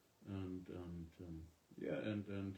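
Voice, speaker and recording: A man with a German accent speaks in a dark, mellow, somewhat breathy voice. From Germany. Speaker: musician. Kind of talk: casual live-stream chat. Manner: halting.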